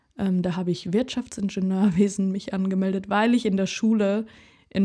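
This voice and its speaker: Fairly even intonation marks a woman's medium-pitched delivery in a normal speaking voice. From Germany, Karlsruhe (Baden). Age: 20s. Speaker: singer and podcast host. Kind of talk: casual monologue.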